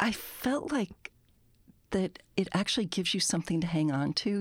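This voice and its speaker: A woman's fairly low voice with an American accent at a moderate pace, a plain, everyday voice, in a dry, close sound with no echo and a very clean recording with a silent background. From United States. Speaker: author and poet. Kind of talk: interview. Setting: studio.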